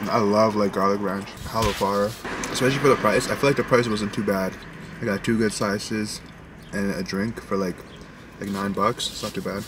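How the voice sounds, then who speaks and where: Fairly low male voice, fairly quick, with fairly even intonation, a dry sound with no echo, and noticeable background noise. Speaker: vlogger. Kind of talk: casual vlog chat, food review. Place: car.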